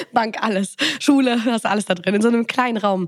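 A woman with an unremarkable speaking voice talks at a moderate pace with ordinary pitch variation. The sound is dry and close, with no echo. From Germany, Bonn. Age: 20s. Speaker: podcast host. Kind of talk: casual chat.

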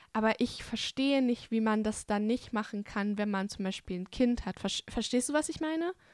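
On a very clean recording with a silent background and a dry, close sound with no echo, a woman with an unremarkable speaking voice and a fairly high pitch talks at a moderate pace with ordinary pitch variation and hardly any pauses. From Bavaria, Germany (Hungarian family). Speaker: podcast host. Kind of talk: casual interview.

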